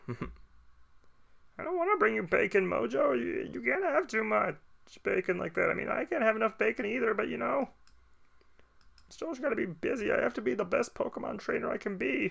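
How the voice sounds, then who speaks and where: A man doing a put-on character voice at a moderate pace. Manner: goofy, silly.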